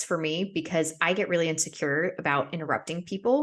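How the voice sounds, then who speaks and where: A woman with an American accent speaks in a plain, everyday voice, her pitch fairly low and her intonation fairly even against a quiet background. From United States. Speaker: podcast host. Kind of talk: casual chat.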